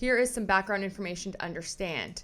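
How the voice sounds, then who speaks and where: With a slight French Canadian accent, a woman speaks with ordinary pitch variation on a very clean recording with a silent background. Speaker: commentary youtuber. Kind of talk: reading aloud; casual commentary video. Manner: halting, self-correcting.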